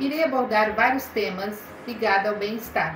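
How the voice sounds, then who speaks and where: A woman's fairly high voice comes through noticeable background noise and audible room echo. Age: 60s. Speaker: biomedical aesthetician. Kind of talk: promotional spot.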